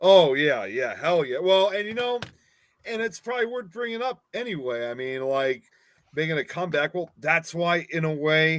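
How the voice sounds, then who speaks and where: A man with a fairly high pitch speaks at a moderate pace, his voice rising and falling in very wide pitch swings. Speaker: horror podcast host. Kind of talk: casual chat. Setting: live stream with co-hosts.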